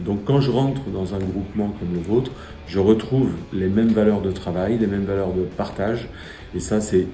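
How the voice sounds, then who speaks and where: The speech moves at a moderate pace with fairly even intonation, amid audible room echo and noticeable background noise. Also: man. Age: 60s. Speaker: supermarket director. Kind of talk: interview testimony. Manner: hesitant, many fillers and repetitions.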